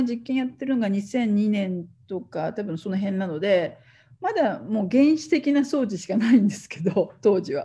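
A woman speaks at a fairly slow pace with a dark, mellow, somewhat breathy tone. Her pitch swings very widely over a quiet background. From Japan. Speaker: professor; university researcher lecturer. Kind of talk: lecture. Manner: halting.

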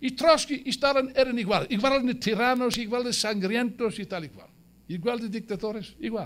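A man's extremely high, animated voice at a moderate pace with ordinary pitch variation. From South Wales. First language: English (speaking Spanish). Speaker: Marxist editor and speaker; speaker. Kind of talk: political speech. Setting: museum event with live audience. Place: hall. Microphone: podium.

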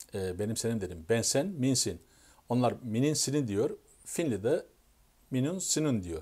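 Over a quiet background, a man with a dark, mellow tone speaks at a fairly slow pace with very wide pitch swings. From Turkey. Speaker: YouTuber. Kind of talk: casual explanatory monologue. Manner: halting, self-correcting. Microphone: phone near.

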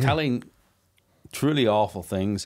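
A man speaks with a Northern Irish accent. The background is quiet. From Northern Ireland. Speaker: documentary filmmaker. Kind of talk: interview conversation. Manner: animated. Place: studio. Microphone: studio mic.

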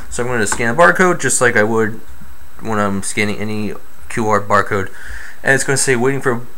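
At a moderate pace, a male voice talks. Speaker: tech tutorial maker. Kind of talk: tutorial. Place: home room. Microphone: phone near.

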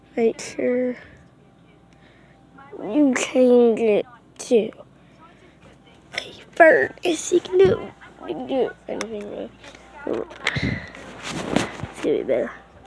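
Amid noticeable background noise, a woman speaks at a very slow pace with long, frequent pauses and big swings in loudness. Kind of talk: casual gaming tutorial talk. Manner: hesitant, rambling.

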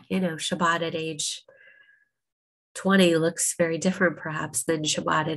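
A woman's low-pitched voice with vocal fry, at a fairly slow pace

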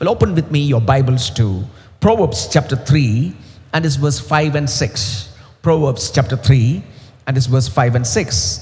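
This man speaks at a fairly slow pace. His intonation is lively. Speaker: preacher. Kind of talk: sermon. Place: stage. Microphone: headset.

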